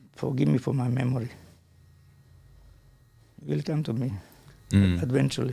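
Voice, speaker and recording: A dark, mellow voice with very wide pitch swings and vocal fry. It moves at a fairly quick pace, broken by long, frequent pauses. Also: man, medium pitch for a man. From Croatia. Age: 80s+. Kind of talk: interview answer. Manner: rambling, talkative.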